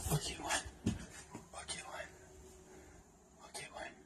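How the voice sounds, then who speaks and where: The speech is very slow. Every word is whispered. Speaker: urban explorer vlogger. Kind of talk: vlog narration. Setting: outdoors at night, ruined building. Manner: whispering; hesitant, many fillers.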